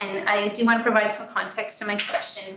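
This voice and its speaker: A woman with a Canadian accent talks at a fairly quick pace in a fairly high pitch. The room echo is audible. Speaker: parent speaking at a school board meeting. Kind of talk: public comment at a board meeting. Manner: hesitant, many fillers.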